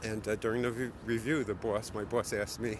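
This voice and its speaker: With a Bronx accent, a man speaks at a very fast pace in a fairly low voice with fairly even intonation. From New York City, the Bronx. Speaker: office worker vlogging his commute. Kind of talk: casual live-stream walking commentary. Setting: outdoors walking in city streets. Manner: casual, halting with fillers.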